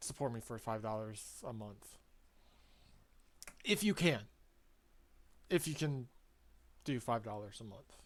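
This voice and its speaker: Speaking at a fairly slow pace with an American accent, the voice leaves long, frequent pauses. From Ohio, US Midwest. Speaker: sim racing streamer. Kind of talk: casual gameplay commentary. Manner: trips over words; hesitant, many fillers.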